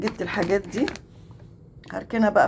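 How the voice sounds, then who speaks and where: This woman talks at a moderate pace and a medium pitch over noticeable background noise. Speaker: vlogger. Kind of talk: casual vlog chat.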